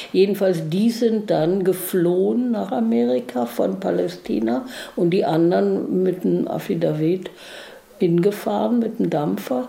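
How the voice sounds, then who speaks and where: A woman with a fairly low pitch talks at a fairly slow pace, her pitch swinging very widely. Audible room echo and noticeable background noise surround her. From New York, then East Berlin. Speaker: interviewee, contemporary witness. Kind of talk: interview.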